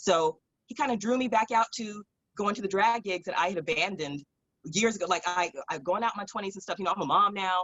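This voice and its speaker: A woman's animated, medium-pitched delivery at a very fast pace. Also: ordinary pitch variation. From Southern California (San Fernando Valley). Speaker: drag performer and musician. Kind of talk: casual interview storytelling.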